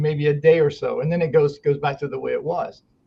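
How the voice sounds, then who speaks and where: With a normal speaking voice, this man's pitch sits fairly high and his intonation stays fairly even. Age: 60s. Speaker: muscle therapist. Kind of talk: podcast interview. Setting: podcast interview.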